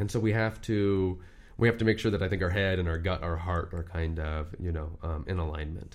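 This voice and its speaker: In a Californian accent, a man with a very deep, low voice talks at a fairly quick pace with ordinary pitch variation. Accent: Californian American. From Southern California, Orange County. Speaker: lawyer. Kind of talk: casual interview. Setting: studio.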